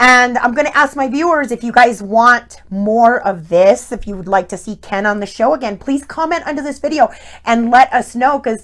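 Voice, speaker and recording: Animated, high female voice with lively intonation at a moderate pace. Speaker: online talk show host. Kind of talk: casual interview chat. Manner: loud.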